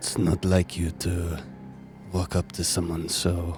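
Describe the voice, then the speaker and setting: Clear music plays behind a put-on character voice. The delivery is fairly slow and flat in a monotone. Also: man, very deep, low pitch for a man. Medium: actual play. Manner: curt, clipped.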